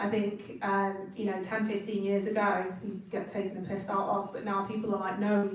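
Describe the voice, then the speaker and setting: A woman with a northern English accent speaks at a medium pitch and moderate pace in a monotone, flat intonation, with audible room echo and noticeable background noise. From northern England. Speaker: designer. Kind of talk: talk to students. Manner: casual.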